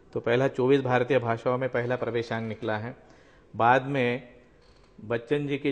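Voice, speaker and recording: A man with a Marathi accent, medium pitch and monotone, flat intonation. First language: Marathi (speaking Hindi). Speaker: magazine editor. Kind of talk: interview.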